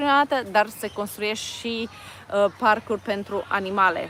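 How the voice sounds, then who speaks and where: With a Romanian accent, this voice shows ordinary pitch variation over noticeable background noise. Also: woman. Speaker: vlogger. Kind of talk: live stream chat. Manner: halting.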